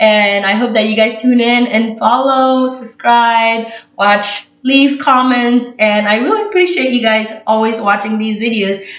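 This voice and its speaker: A woman talks with a fairly high pitch and fairly even intonation, with hardly any pauses. Room echo is audible. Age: 20s. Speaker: vlogger, college student. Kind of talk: casual vlog monologue. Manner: loud.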